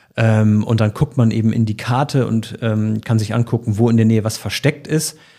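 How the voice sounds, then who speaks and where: A man's medium-pitched voice has a dark, mellow tone and fairly even intonation at a moderate pace. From Bremen, northern Germany. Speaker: radio morning show host. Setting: podcast studio.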